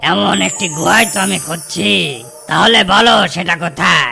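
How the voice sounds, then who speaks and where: A raspy, cartoonish character voice at a fairly slow pace, with clear background noise. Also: man, high pitch for a man. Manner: familiar, addresses fox as uncle.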